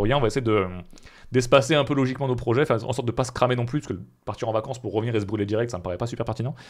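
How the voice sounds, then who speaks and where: At a very fast pace, a man talks at a medium pitch with ordinary pitch variation. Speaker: streamer. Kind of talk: live stream Q&A. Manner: casual, hesitant with many fillers.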